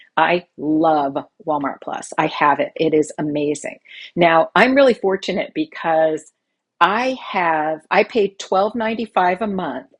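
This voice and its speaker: A woman with an unremarkable speaking voice talks at a fairly slow pace and fairly low pitch. Her intonation is lively, and the background is quiet. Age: 60s. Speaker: money-saving video creator. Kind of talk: tutorial. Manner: casual, conversational with fillers.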